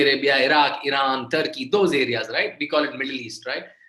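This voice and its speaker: A man with an Indian accent speaks in a bright, sharp tone. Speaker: author and guest lecturer. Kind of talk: lecture to students. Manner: repetitive, stop-start phrasing.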